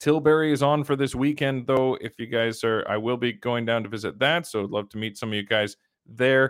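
Talking at a fairly quick pace, a man with a Canadian accent has an ordinary speaking voice, a medium pitch and ordinary pitch variation. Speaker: livestream host and commentator. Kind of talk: live commentary. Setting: home shed studio.

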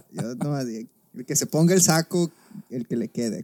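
His voice fairly high-pitched with very wide pitch swings, a man speaks at a fairly slow pace in a dry, close sound with no echo. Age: 20s. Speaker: podcast co-host. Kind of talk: casual chat.

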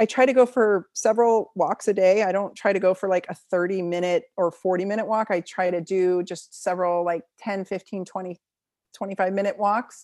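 In a dry, close sound with no echo, a woman with a normal speaking voice talks at medium pitch and a moderate pace, her intonation fairly even, on a very clean recording with a silent background. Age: 40s. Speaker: naturopathic doctor and chiropractor. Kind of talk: interview.

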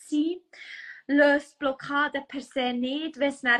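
A woman with a Bernese accent speaks very slowly in a raised, projected voice, her high pitch held in a monotone, flat intonation. Her tone is bright and sharp, and the sound is dry and close with no echo. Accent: Bernese Swiss German. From Switzerland, canton of Bern. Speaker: human design coach. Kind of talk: casual chat. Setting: Instagram live video.

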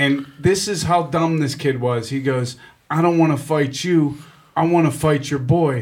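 Fairly even intonation from a somewhat breathy man with a Pittsburgh accent, fairly high in pitch, at a fairly slow pace. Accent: Pittsburgh (western Pennsylvania) American. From Pittsburgh, Regent Square. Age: 40s. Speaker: radio host and comedian. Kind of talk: casual chat. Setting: studio.

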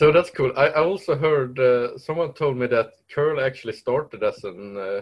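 A man's fairly high, somewhat breathy voice at a moderate pace, with lively intonation. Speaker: podcast host. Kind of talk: interview.

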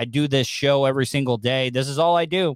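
Using a plain, everyday voice, a man talks at a fairly quick pace and a fairly high pitch. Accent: American. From Florida. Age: 40s. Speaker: radio personality and podcaster. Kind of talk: casual chat.

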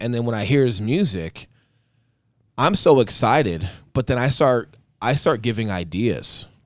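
On a very clean recording with a silent background, a man at a medium pitch sounds animated, his pitch swinging very widely. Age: 30s. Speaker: real estate agent and podcast host. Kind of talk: casual chat.

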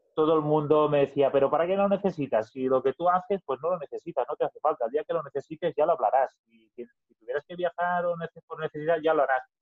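A man's fairly high voice at a very fast pace, with hardly any pauses and fairly even intonation. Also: big swings in loudness. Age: 30s. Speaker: business owner. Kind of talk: podcast interview. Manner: halting, with repetitions.

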